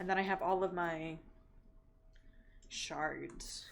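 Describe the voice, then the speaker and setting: Very slow speech from a woman with an American accent. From California, Bay Area. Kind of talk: casual chat. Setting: live stream. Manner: animated.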